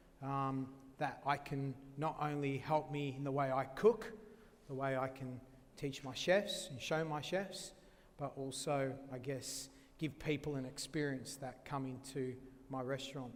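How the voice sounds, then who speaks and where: With an Australian accent, a man speaks at a fairly slow pace, his pitch fairly high and his intonation fairly even. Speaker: chef. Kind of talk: cooking demonstration talk.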